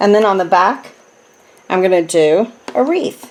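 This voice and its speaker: A woman speaks with an American accent at a medium pitch. Her pitch swings very widely. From New Jersey. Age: 60s. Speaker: craft demonstrator. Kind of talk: tutorial. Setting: home craft room. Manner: casual, chatty with filler words.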